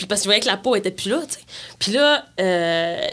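The intonation is lively. It is an ordinary speaking voice. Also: woman. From rural Quebec. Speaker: singer-songwriter. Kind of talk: interview conversation.

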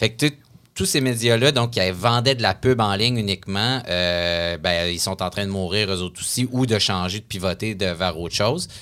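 A man with an unremarkable speaking voice talks at a fairly low pitch with ordinary pitch variation and a moderate pace. The recording is very clean, the background silent. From Quebec City. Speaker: columnist. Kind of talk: casual interview.

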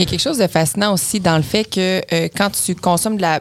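At a fairly quick pace, a woman speaks with a fairly low pitch and ordinary pitch variation over noticeable background noise. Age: 20s. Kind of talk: casual chat.

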